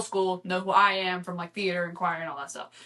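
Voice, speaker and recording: Speaking at a fairly quick pace, a woman with a Texan accent uses a medium pitch. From Texas, near Houston. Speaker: podcast guest, college student. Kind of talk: casual chat.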